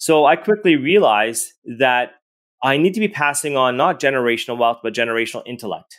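Speaking with a Canadian accent, a man has a plain, everyday voice at medium pitch. His intonation is lively and his pace fairly quick. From Edmonton, Alberta, Canada. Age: 40s. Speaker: real estate investor and sales mentor. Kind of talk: interview.

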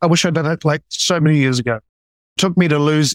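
The man has a plain, everyday voice, fairly high in pitch, with fairly even intonation and a dry, close sound with no echo. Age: 30s. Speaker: client in anger management program. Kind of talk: interview testimony.

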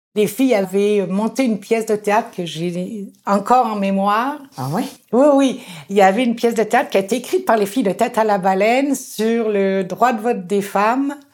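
This woman has an ordinary speaking voice, pitched fairly high. She talks at a moderate pace with ordinary pitch variation. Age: 60s. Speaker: community organizer. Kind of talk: interview.

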